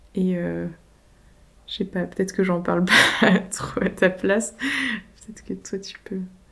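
A woman talks at a fairly slow pace with long, frequent pauses and big swings in loudness. Her intonation is monotone and flat, and there is noticeable background noise. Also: medium pitch for a woman. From Paris region (Yvelines), France. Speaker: rural queer collective member. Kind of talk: casual conversation. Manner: hesitant, many fillers.

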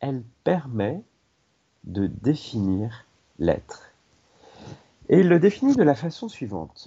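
Somewhat breathy, the voice moves at a very slow pace with long, frequent pauses and very wide pitch swings. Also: man, fairly high pitch for a man. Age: 50s. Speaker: personal development trainer and teacher. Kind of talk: radio talk.

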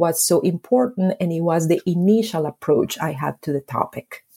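A woman with a Spanish accent speaks at a moderate pace with lively intonation. Her tone is dark and mellow, and the sound is dry and close with no echo. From Colombia, Medellin. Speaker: history professor and author. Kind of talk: interview.

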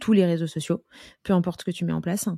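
A woman's dark, mellow, fairly low-pitched voice with monotone, flat intonation, dry and close with no echo in a very clean recording over a silent background. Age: 20s. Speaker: marketing agency co-founder. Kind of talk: casual chat.

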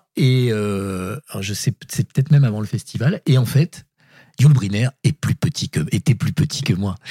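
A man speaks fairly slowly in a medium pitch with lively intonation and a dark, mellow tone. His voice is somewhat breathy, and the sound is dry and close with no echo. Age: 60s. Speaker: writer. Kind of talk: casual chat.

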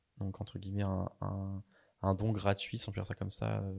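Recorded very cleanly against a silent background, a man speaks at a fairly low pitch and a fairly slow pace with a dark, mellow tone. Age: 20s. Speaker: pastry chef and online entrepreneur. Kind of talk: interview. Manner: halting, many repetitions and fillers.

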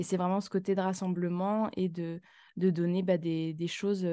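A woman speaks at a medium pitch with monotone, flat intonation and a dark, mellow tone. The background is quiet. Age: 20s. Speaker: graphic designer and illustrator. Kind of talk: interview. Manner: halting.

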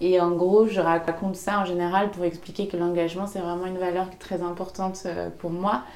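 A woman speaks in a monotone, flat intonation. Audible room echo and noticeable background noise surround her. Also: medium pitch for a woman, moderate pace. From western France, Maine-et-Loire near Angers. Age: 20s. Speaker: entrepreneur, podcast creator. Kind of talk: interview conversation. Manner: hesitant with fillers.

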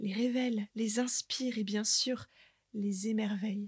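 A woman speaks in a calm tone with a fairly high, somewhat breathy voice. Her pace is fairly slow and her intonation fairly even, with a dry, close sound and no echo. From northern France, Côte d'Opale. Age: 30s. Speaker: podcast host and nature guide. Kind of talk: scripted narration.

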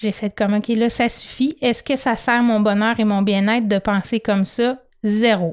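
A woman with a Quebec accent talks at a fairly slow pace. Her pitch is fairly high with ordinary variation, and the recording is very clean with a silent background. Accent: Québécois French. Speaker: podcast host, personal development. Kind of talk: motivational monologue.

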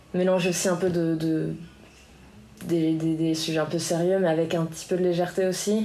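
A woman speaks at a moderate pace with a fairly low pitch and a dark, mellow tone, leaving long, frequent pauses. Her intonation is monotone and flat, and audible room echo fills the recording. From France, Biarritz. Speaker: musician and professional surfer. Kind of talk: interview. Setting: association office.

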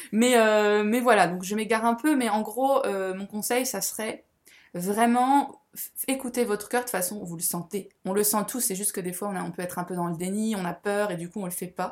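Ordinary pitch variation and a moderate pace in a woman's medium-pitched voice. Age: 30s. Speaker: spiritual guide. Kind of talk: casual chat. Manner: halting.

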